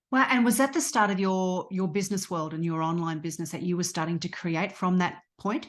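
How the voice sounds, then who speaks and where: Against a quiet background, the speaker talks at a fairly quick pace with an Australian accent and ordinary pitch variation. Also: woman, medium pitch for a woman. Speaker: podcast host and coach. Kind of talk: interview conversation.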